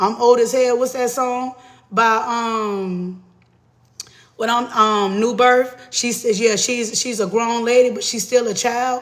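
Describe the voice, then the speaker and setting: A man at an extremely high pitch, monotone and flat, at a very slow pace, with audible room echo. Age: 40s. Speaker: tarot reader. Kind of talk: live tarot reading stream. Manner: casual, profane.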